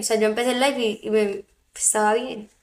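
Speaking at a fairly quick pace, a woman with a fairly high pitch uses an animated tone. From Colombian Caribbean coast, Barranquilla. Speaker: live streamer. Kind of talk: casual livestream chat with viewers.

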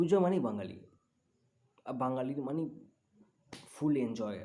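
Audible room echo surrounds this man's voice. His tone is dark and mellow, and his pitch varies in an ordinary way. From West Bengal, Bardhaman. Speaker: vlogger. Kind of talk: casual vlog narration.

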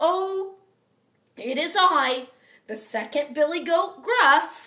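A woman uses a put-on character voice, high in pitch and delivered at a very slow pace.

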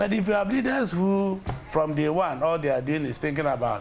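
A man at a very fast pace, with light background noise. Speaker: interview guest. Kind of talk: interview answer. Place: studio. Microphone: lapel.

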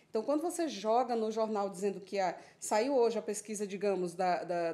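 A woman with a dark, mellow tone. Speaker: guest. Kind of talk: televised panel debate. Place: studio. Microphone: studio mic.

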